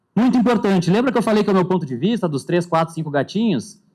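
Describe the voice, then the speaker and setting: Very fast and full of lively intonation, the voice has a dark, mellow tone. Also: man. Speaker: panel moderator. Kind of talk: conference talk. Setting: stage with audience.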